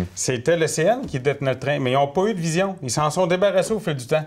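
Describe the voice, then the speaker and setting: In an ordinary speaking voice, a man with fairly high pitch talks at a fairly quick pace with ordinary pitch variation. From Quebec, Gaspésie (Mont-Louis); Quebec. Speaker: political candidate, former mayor, forestry technician; candidate, former mayor. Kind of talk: interview. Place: studio.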